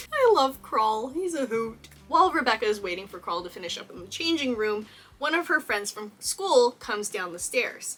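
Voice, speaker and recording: With an American accent, a woman talks in a high, animated voice with very wide pitch swings, big swings in loudness and hardly any pauses. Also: moderate pace. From Texas. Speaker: cosplayer and YouTuber. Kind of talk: video essay, film analysis.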